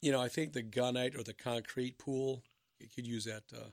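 This man has an American accent and a medium pitch. His intonation is monotone and flat. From Minnesota. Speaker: pool business owner. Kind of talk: radio interview.

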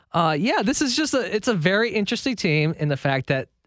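The recording is very clean, with a silent background. A man speaks at a moderate pace in an ordinary speaking voice. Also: dry, close sound with no echo. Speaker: college basketball podcast co-host. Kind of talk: casual sports podcast analysis.

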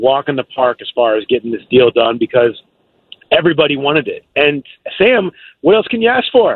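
With a plain, everyday voice, a man talks at a moderate pace, his fairly high pitch carrying lively intonation. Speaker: NFL beat reporter. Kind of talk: casual sports interview.

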